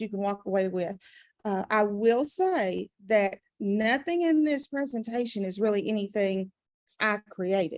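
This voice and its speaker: With a Southern US accent, this woman talks at a moderate pace in a fairly high pitch with ordinary pitch variation. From US South. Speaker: adult education math trainer. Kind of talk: conference presentation.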